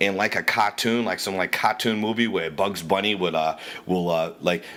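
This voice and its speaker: A man with a Boston accent, fairly low in pitch, bright and sharp in tone, with ordinary pitch variation and a fairly quick pace. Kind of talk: casual rant to camera. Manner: profane, animated.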